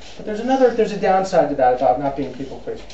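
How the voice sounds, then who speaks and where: A high-pitched man's voice amid noticeable background noise and audible room echo. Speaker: PR consultant, speaker. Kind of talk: talk to an audience. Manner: fast; animated.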